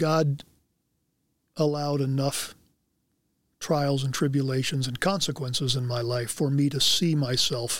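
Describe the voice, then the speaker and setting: A man at a fairly slow pace with long, frequent pauses and fairly even intonation, in a very clean recording with a silent background. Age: 60s. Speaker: former football player. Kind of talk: interview.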